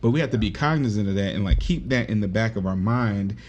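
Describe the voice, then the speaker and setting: Over audible room echo, a man talks at a fairly quick pace with a fairly low pitch. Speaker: nurse. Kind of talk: podcast conversation. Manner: soft-spoken; calm, level tone.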